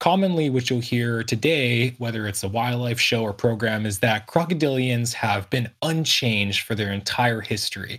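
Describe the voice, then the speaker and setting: Here a man has a normal speaking voice, a medium pitch with ordinary pitch variation and a moderate pace with hardly any pauses, in a very clean recording with a silent background. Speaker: crocodilian conservation expert. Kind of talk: educational conversation about prehistoric crocodilians.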